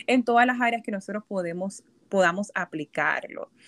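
Medium-pitched woman's voice with ordinary pitch variation, dry and close with no echo, on a very clean recording with a silent background. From Puerto Rico. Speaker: psychologist. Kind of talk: casual chat. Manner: halting.

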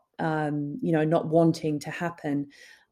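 With an Australian accent, a woman speaks at a fairly slow pace in a dark, mellow, fairly low voice on a very clean recording with a silent background. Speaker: documentary producer and director. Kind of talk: interview.

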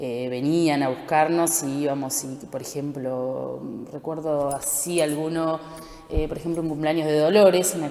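A woman with a very deep, low pitch speaks in fairly even intonation over noticeable background noise and audible room echo. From Argentina, rural Buenos Aires province. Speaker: townsperson. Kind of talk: testimony.

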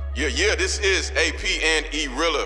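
With audible room echo and noticeable background noise, a man speaks at a fairly slow pace. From Chicago, then Indiana and Michigan. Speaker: radio host. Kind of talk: casual radio show chat. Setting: studio. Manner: laid-back, slangy.

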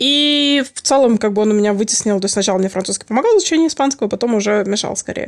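A woman speaks at a fairly high pitch with lively intonation. The recording is very clean, with a silent background. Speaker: polyglot and long-time gamer. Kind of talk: casual chat.

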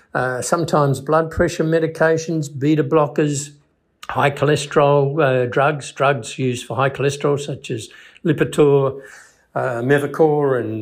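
Speaking in an Australian accent, a man holds a fairly high pitch. His pace is fairly slow and his intonation fairly even. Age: 70s. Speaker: psychologist. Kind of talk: educational talk. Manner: halting, with fillers.

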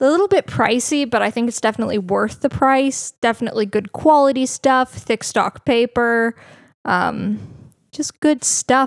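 In an ordinary speaking voice, a woman talks at a moderate pace with a fairly high pitch and ordinary pitch variation. The recording is dry and close, with no echo. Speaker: podcast co-host. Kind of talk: casual chat.

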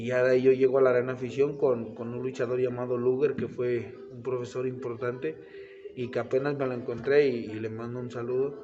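A man's fairly quick, monotone speech with flat intonation, medium pitch, a central Mexican accent, big swings in loudness, audible room echo and noticeable background noise. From Mexico, Tlaxcala. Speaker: professional wrestler. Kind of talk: casual interview. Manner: halting, repeats words.

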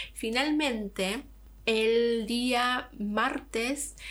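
A woman with an Argentine accent, speaking at a very slow pace. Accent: Argentine Spanish (Rioplatense). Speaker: podcaster. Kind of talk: casual vlog monologue.

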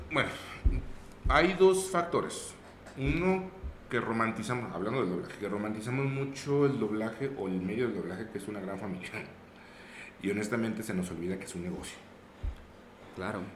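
A man talks at a fairly quick pace, broken by long, frequent pauses. His pitch swings very widely, and the room echo is audible. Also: medium pitch for a man. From Mexico, Zacatecas. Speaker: voice actor. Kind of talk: casual chat. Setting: studio.

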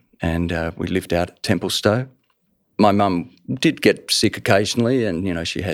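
A man with an Australian accent has a very deep, low pitch. He speaks at a moderate pace on a very clean recording with a silent background. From Australia, Melbourne. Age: 60s. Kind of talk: personal testimony interview.

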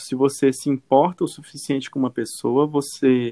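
A man speaks at a moderate pace with a fairly high pitch, the sound dry and close with no echo. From Brazil, Acre. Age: 30s. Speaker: journalist. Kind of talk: casual chat.

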